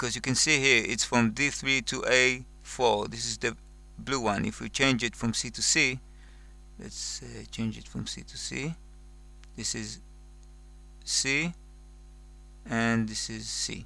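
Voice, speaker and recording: Pausing long and often, a man with a non-native accent speaks at a fairly slow pace. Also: big swings in loudness. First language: not English. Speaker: music software tutorial maker. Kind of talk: tutorial. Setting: screen recording. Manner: slow, careful; hesitant, with fillers.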